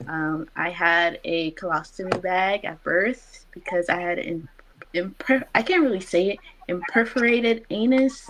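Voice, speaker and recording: A woman's normal speaking voice at medium pitch, with lively intonation and a fairly slow pace. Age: 20s. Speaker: IBD patient sharing her story. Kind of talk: patient interview.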